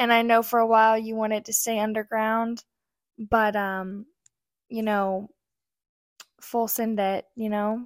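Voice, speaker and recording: A soft-spoken woman talks fairly slowly at a fairly high pitch, her intonation monotone and flat, with long, frequent pauses. The recording is very clean with a silent background, the sound dry and close with no echo. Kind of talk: casual chat.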